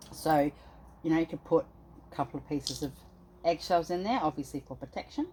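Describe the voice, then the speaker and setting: A woman with a very deep, low voice and an Australian accent, talking at a fairly quick pace with long, frequent pauses and ordinary pitch variation. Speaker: spiritual practitioner. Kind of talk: tutorial. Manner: fast.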